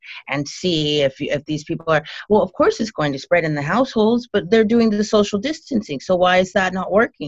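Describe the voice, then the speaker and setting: Speaking at a fairly quick pace, a woman with a fairly low pitch has a plain, everyday voice and lively intonation. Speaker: guest, wife of main guest. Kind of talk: casual chat.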